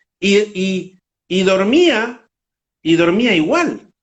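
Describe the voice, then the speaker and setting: Animated in tone, a man speaks with a high pitch and lively intonation. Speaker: motorcycle world traveler. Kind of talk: interview. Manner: animated storytelling.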